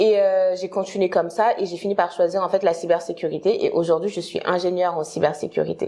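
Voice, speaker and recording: A woman talks at a fairly quick pace with a fairly low pitch. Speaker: career consultant. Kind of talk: interview. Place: home room. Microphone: lapel.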